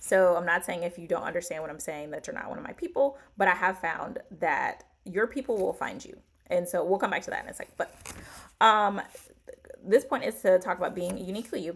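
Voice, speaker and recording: Her loudness swings widely while this woman's medium pitch shows ordinary variation. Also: fairly quick pace. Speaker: author and publishing coach. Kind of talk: livestream talk to viewers. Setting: livestream. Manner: fast; casual, with frequent fillers.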